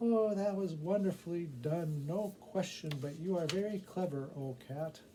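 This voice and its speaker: A man does a put-on character voice pitched high. Clear background noise can be heard. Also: moderate pace. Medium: read story.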